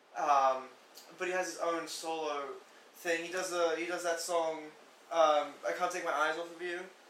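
A man's flat, monotone voice, high in pitch, at a moderate pace with long, frequent pauses, amid noticeable background noise and audible room echo. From England. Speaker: music fan. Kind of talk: casual chat.

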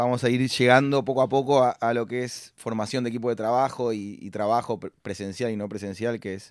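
A man with a Rioplatense accent at a medium pitch, fairly quick and fairly even in intonation, in a very clean recording with a silent background. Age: 30s. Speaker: podcast host, entrepreneur. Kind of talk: interview.

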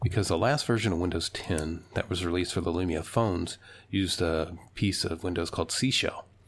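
A man speaks at a moderate pace with a low-pitched voice. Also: ordinary pitch variation.

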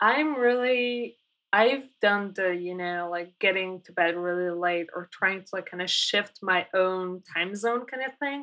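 This woman, speaking with a Polish accent, has a medium pitch, ordinary pitch variation and a bright, sharp tone. She talks at a fairly slow pace with big swings in loudness against a quiet background. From Poland. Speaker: designer and developer. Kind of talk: interview.

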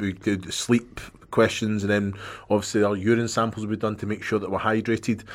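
Delivered in a Scottish accent, the speech moves at a fairly quick pace with monotone, flat intonation. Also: man, fairly low pitch for a man. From Scotland. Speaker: former footballer, podcast co-host. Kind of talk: casual chat. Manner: jokey.

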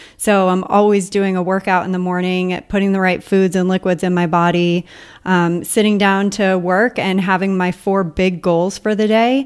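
A woman talks at a moderate pace in a flat monotone. Her loudness stays very even, and she hardly pauses. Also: medium pitch for a woman. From mainland US. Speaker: podcaster and online entrepreneur. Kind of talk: interview conversation. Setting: remote call.

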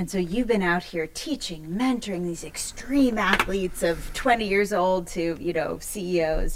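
A woman speaks at a medium pitch and a fairly slow pace. Background noise is noticeable. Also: ordinary pitch variation, hardly any pauses. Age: 40s. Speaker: podcast host and business consultant. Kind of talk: interview conversation. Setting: studio in a co-working hub.

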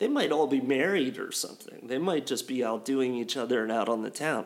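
In an ordinary speaking voice, a man uses lively intonation and keeps a moderate pace. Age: 40s. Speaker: podcast co-host. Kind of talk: casual chat.

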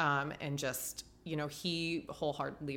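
With a US Midwestern accent, a woman speaks at a very deep, low pitch with vocal fry and fairly even intonation. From Ohio, US Midwest. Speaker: marathon runner and cancer survivor. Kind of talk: casual interview.

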